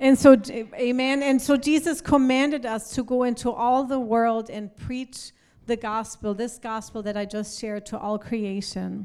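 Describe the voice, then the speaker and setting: A woman's fairly high voice moves at a very slow pace. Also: fairly even intonation. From Germany. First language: German (speaking Spanish). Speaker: pastor. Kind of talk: sermon.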